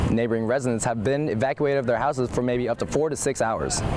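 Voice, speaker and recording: A man's very fast speech at a medium pitch, with ordinary pitch variation and noticeable background noise. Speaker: student news reporter. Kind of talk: TV news stand-up report.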